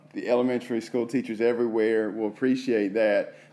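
A man speaks at a medium pitch in a dark, mellow tone. His intonation is monotone and flat. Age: 30s. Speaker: podcast host and assistant principal. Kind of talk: interview podcast.

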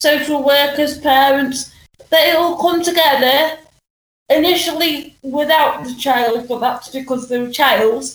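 Fairly slow, fairly even speech with audible room echo. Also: woman. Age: 30s. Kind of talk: testimony.

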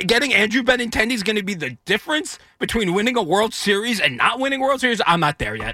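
A man with a high pitch speaks at a very fast pace in a raised, projected voice. There are hardly any pauses. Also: lively intonation. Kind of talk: casual chat.

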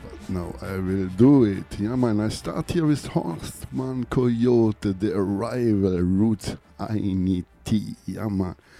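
With hardly any pauses, a man talks at a very slow pace in an upbeat tone with ordinary pitch variation, music playing in the background. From Lake Constance, Germany. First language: German. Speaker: reggae radio DJ. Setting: studio radio show, mic in hand. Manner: relaxed, friendly.

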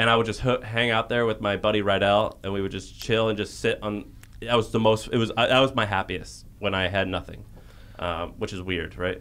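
Delivered at a fairly quick pace with an American accent, this voice has vocal fry and fairly even intonation. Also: man, fairly low pitch for a man. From US Midwest, St. Louis, Missouri. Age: 30s. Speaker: entrepreneur. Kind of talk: casual interview conversation.

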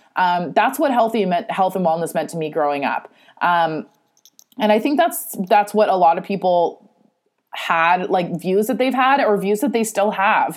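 Talking at a moderate speed, a woman uses a mid-range pitch. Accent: Californian. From California, San Francisco Bay Area. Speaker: podcast host and self-love coach. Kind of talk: solo podcast monologue. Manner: casual, laughing often.

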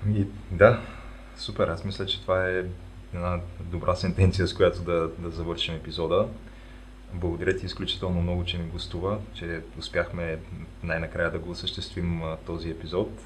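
A man speaks at a moderate pace in a very deep, low pitch with fairly even intonation and long, frequent pauses. Noticeable background noise and audible room echo are present. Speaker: podcast host. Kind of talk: casual interview. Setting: remote recording.

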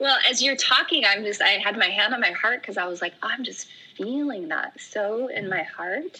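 Over noticeable background noise, a woman speaks at a fairly high pitch with lively intonation. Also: moderate pace. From Oregon. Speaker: yoga teacher. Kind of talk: casual chat.

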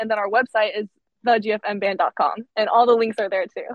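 A woman uses an ordinary speaking voice, fairly high in pitch with fairly even intonation. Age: 20s. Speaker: musician in a sister band. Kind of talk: interview. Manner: casual, filler-heavy.

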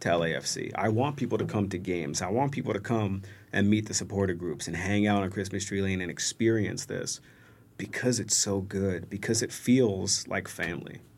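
A man with a plain, everyday voice speaks at a moderate pace, his pitch fairly low and its variation ordinary. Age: 30s. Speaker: soccer supporter group member. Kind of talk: casual chat.

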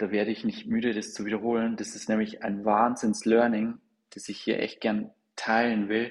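A man's medium-pitched voice stays monotone and flat in intonation as he talks at a moderate pace. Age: 40s. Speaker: fintech company co-founder. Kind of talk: casual interview.

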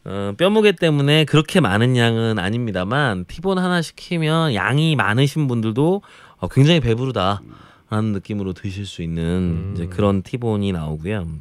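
This man speaks at a moderate pace from a medium pitch, his voice swinging very widely up and down. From Jeolla province, South Korea. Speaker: food columnist. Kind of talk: casual chat.

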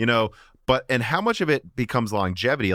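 A man with an American accent talks at a very fast pace. The recording is very clean, with a silent background. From central Illinois, US. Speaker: gaming hardware podcast host. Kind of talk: casual interview chat.

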